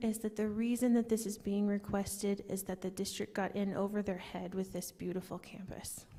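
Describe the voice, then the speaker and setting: A soft-spoken woman at a medium pitch, with monotone, flat intonation, a moderate pace, and hardly any pauses. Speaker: community member asking questions. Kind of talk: town hall Q&A. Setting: public meeting with audience microphones. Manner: quiet.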